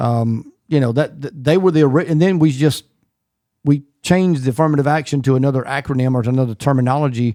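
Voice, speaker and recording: A man's fairly quick voice at a medium pitch with ordinary pitch variation and a dark, mellow tone, in a very clean recording with a silent background. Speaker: podcast host, former pastor. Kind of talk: casual chat.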